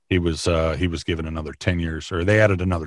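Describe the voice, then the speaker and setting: A man with an Upper Midwest accent speaks at a very deep, low pitch with fairly even intonation. The recording is very clean, with a silent background. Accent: Upper Midwest American. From Minnesota, US Midwest. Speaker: county sheriff and former radio broadcaster. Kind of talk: interview. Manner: halting, many fillers and repetitions.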